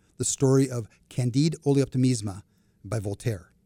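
This man's voice has a dark, mellow tone and a moderate pace. The sound is dry and close with no echo, in a very clean recording over a silent background. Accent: American. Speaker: retired banker and finance expert. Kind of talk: casual interview conversation. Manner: humorous, chatty.

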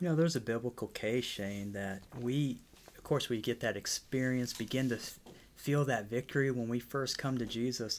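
On a very clean recording with a silent background, a man speaks at a medium pitch and moderate pace, with ordinary pitch variation and big swings in loudness. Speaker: podcast host. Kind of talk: casual chat. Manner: preacher-like cadence.

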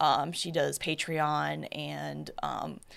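Vocal fry runs through the voice. It belongs to a woman. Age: 30s. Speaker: photographer. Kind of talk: casual chat.

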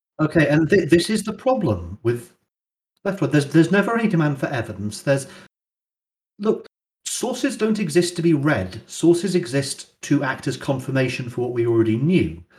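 A man talks at a fairly quick pace with a British accent and vocal fry. His pitch swings very widely. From UK. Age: 20s. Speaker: internet personality. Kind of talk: interview. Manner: halting.

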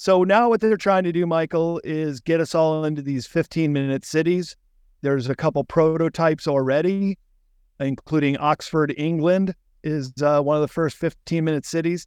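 The man has an ordinary speaking voice, fairly high in pitch, moving at a moderate pace with fairly even intonation. The recording is dry and close with no echo and a quiet background. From Chicago, US Midwest. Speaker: author and book publisher. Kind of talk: interview conversation. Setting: warehouse, remote interview.

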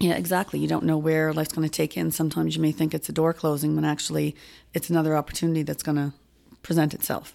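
A woman with a Nova Scotian accent, very deep, low pitch, dark, mellow tone, monotone, flat intonation, very even loudness and a very fast pace, on a very clean recording with a silent background. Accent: Nova Scotian Canadian. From Nova Scotia, Halifax (Spryfield). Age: 50s. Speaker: farmers market manager. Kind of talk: casual interview.

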